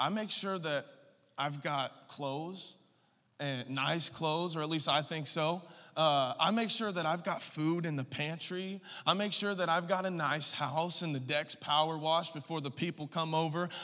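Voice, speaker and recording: This man speaks at a moderate pace in a bright, sharp tone with fairly even intonation. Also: quiet background. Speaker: preacher. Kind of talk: sermon. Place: church. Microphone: handheld.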